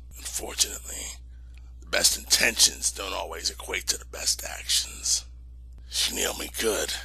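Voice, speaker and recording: Using a raspy, put-on character voice, a man speaks at a moderate pace over light background noise. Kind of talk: amateur voice-over audition. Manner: gruff, sardonic drawl.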